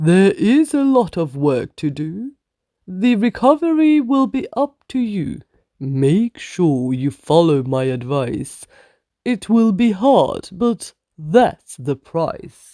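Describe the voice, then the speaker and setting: A put-on character voice at middle pitch moves very slowly. Its pitch swings very widely. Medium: read story. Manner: firm, instructive.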